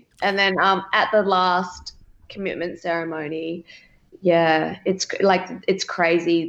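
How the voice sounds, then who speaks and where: With an Australian accent, a woman speaks in a flat monotone at a moderate pace. Her pitch is fairly low. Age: 20s. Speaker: reality TV contestant. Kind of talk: interview.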